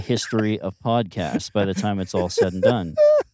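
This man, with an American accent, speaks at a moderate pace. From western Pennsylvania, near Pittsburgh. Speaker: musician. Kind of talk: casual chat. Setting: in a car.

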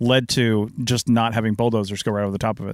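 A man with an American accent speaks in an ordinary speaking voice at medium pitch, recorded very cleanly against a silent background with a dry, close sound and no echo. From Washington State, US. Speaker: podcast host, archaeologist. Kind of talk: interview. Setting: RV at a campground.

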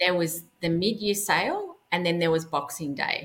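Speaking at a moderate pace with an Australian accent, a woman uses a fairly low pitch and ordinary pitch variation. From Melbourne, Australia. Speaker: personal stylist. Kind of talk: casual interview chat.

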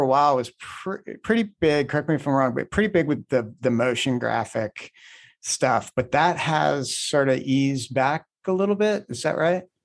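A normal speaking voice from a man with an American accent, fairly high in pitch, lively in intonation, at a moderate pace, with a dry, close sound, no echo and a quiet background. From Indiana. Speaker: podcast host. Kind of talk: interview.

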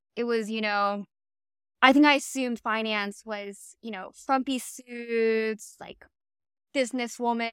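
On a dry, close recording with no echo, a woman with an American accent and an unremarkable speaking voice speaks at a fairly high pitch with fairly even intonation. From Miami, Florida. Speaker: podcast host, former investment banker. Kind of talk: casual chat.

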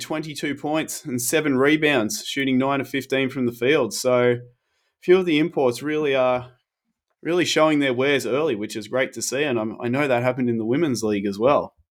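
An Australian accent with ordinary pitch variation, in a very clean recording over a silent background. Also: man. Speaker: basketball podcast co-host. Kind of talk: casual chat.

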